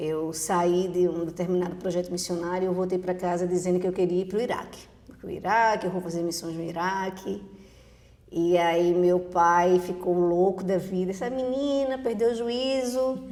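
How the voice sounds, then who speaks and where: With a Recife accent, a woman at medium pitch talks at a moderate pace with ordinary pitch variation, amid audible room echo and noticeable background noise. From Brazil, Recife (Pernambuco). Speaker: teacher and behavioral profile consultant. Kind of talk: podcast interview.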